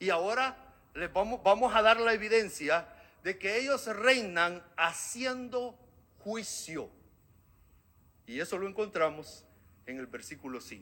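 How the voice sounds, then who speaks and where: A man speaks fairly slowly in a high, bright, sharp voice, raised and projected, with lively intonation. His loudness swings widely, and he takes long, frequent pauses. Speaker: preacher. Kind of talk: sermon.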